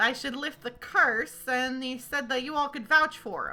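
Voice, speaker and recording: A woman performs a put-on character voice. Faint music plays in the background. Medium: actual play. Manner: casual, drawling, hesitant with many fillers.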